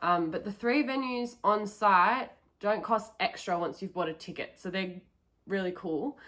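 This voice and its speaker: In an Australian accent, a woman speaks fairly slowly at medium pitch, her tone bright and sharp and her pitch varying in an ordinary way. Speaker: travel vlogger. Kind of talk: casual vlog talk to camera. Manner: casual, many um fillers.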